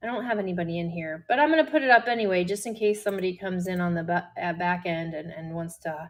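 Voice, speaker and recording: A woman talks at a fairly quick pace with a slight Midwestern US accent. Her pitch swings very widely. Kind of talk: live selling stream. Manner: casual, chatty.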